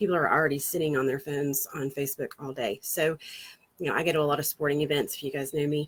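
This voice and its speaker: A woman talks very fast with a slight Southern US accent. Her pitch is very deep and low, her intonation fairly even. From Florida, US South. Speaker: marketing agency founder. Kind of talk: casual talk to camera, livestream. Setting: outdoors on a porch swing.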